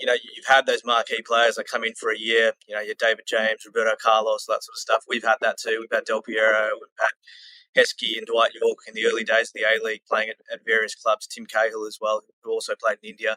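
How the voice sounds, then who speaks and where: In an Australian accent, a man talks at a very fast pace with a dry, close sound and no echo. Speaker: football club community manager. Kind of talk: podcast interview.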